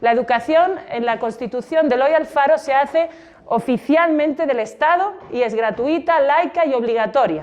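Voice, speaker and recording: With a Spanish accent and a high pitch, a woman speaks at a moderate pace with ordinary pitch variation over noticeable background noise. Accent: Spanish (Spain). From Spain. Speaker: exhibition guide. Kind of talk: guided exhibition talk to students. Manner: conversational, many rhetorical questions.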